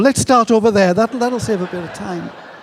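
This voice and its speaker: Noticeable background noise sits behind a man whose pitch rises and falls in an ordinary way. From England. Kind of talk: conference talk. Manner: animated.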